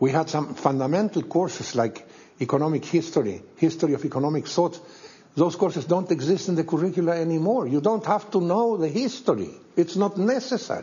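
A man with a Spanish accent talks at a fairly quick pace in a high pitch, his intonation lively and his loudness very even. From Chile. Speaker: economist; interviewee. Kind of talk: interview; interview answer. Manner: animated; halting. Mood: critical, emphatic. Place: studio.

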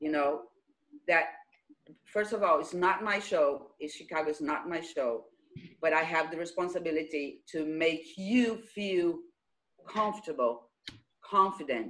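Fairly low-pitched woman's speech at a fairly slow pace, with ordinary pitch variation, long, frequent pauses and faint music in the background. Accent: Brazilian. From Brazil. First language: Portuguese. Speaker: theatre director and choreographer; director hosting a reunion call. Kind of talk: casual chat. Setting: video call. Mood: warm, grateful. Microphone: video call.

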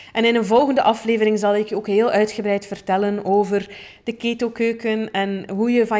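A woman with a Flemish accent speaks in a dark, mellow tone. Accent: Flemish Dutch. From Flanders, Belgium. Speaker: podcast host, plant-based chef and coach; podcast host. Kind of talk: personal storytelling monologue. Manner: casual with many fillers. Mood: warm, cheerful. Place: studio. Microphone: studio mic.

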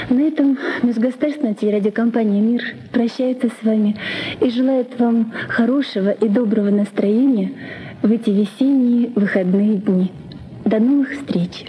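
Over light background noise, a woman with a fairly high pitch talks at a moderate pace with fairly even intonation, very even loudness and long, frequent pauses. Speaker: TV announcer. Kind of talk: TV announcement. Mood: warm, smiling, polite. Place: studio.

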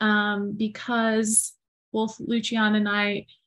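A woman's somewhat breathy voice at a very slow pace over a quiet background. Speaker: podcast co-host. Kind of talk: casual conversation. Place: home room. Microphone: video call.

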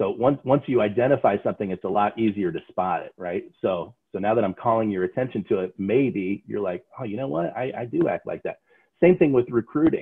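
A man talking at a fairly quick pace with hardly any pauses, against a quiet background. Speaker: sales trainer. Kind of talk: lecture. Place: home room. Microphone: video call.

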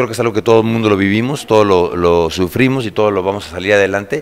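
A man speaks at a fairly quick pace in a fairly low pitch. His pitch varies in an ordinary way. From Mexico, Querétaro; Mexico. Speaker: actor. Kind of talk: interview. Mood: upbeat, promotional. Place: hall.

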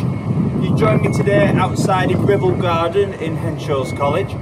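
A man's voice, with ordinary pitch variation, comes through loud background noise. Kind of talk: tutorial. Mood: calm, gentle, encouraging. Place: garden. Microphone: camera far.

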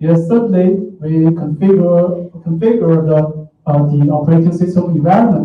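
A man with a Chinese accent, a high pitch, a dark, mellow tone, fairly even intonation and a fairly slow pace, with audible room echo. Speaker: software engineer; conference presenter. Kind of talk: conference talk. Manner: hesitant, many fillers. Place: hall.

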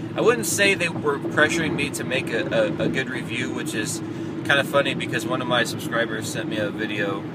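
A man speaks at a fairly quick pace with a dry sound that has no echo, over loud background noise. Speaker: vlogger. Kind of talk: casual vlog chat. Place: car. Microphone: phone near.

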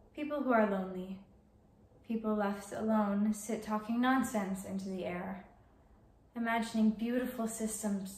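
A woman talks at a moderate pace with fairly even intonation. There is audible room echo. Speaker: actor. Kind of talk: monologue performance. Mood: dreamy, wistful delivery. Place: home room. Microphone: camera far.

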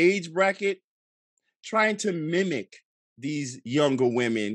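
Against a quiet background, a man with a fairly high voice speaks fairly slowly with lively intonation, the sound dry with no echo. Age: 40s. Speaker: film director, guest. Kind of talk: casual chat. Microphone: studio mic.

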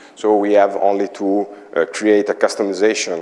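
A man speaks at a moderate pace with an Italian accent, his pitch fairly low. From Italy, Imola; Italy. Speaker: IT consultant; conference presenter. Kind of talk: conference talk. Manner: halting. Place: meeting room. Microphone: lapel.

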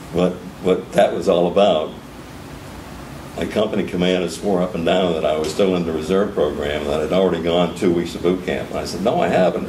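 Over light background noise and audible room echo, a man with a very deep, low pitch talks at a fairly quick pace in a monotone, flat intonation. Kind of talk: interview answer. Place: meeting room.

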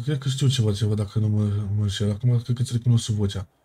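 A man talks at a very fast pace, his tone dark and mellow and somewhat breathy. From Iași, Romania. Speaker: game streamer in roleplay. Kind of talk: in-character roleplay argument.

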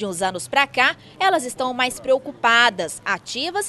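Over noticeable background noise, a woman with a high voice speaks at a fairly slow pace, her pitch swinging very widely. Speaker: TV news reporter. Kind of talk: TV news report narration.

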